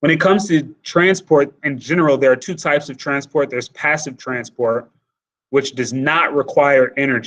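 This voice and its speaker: Using a normal speaking voice, a man talks at a moderate speed, his fairly high pitch carrying ordinary pitch variation. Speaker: high school biology teacher. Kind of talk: lecture. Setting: live online class session.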